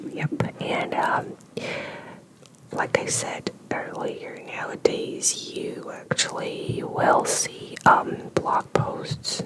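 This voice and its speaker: Whispering at a very slow pace in a relaxed tone, over noticeable background noise. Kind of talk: ASMR rambling talk to camera. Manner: whispered, relaxed, rambling.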